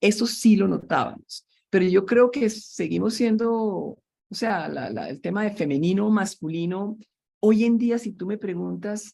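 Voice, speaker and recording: At a fairly slow pace, a woman with a dark, mellow tone and medium pitch speaks with big swings in loudness. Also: ordinary pitch variation. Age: 70s. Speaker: systems engineer and entrepreneur. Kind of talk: interview.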